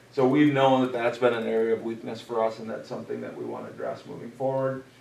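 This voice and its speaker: Noticeable background noise sits behind the audio. A man talks at a very fast pace. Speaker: school district administrator. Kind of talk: presentation at board meeting.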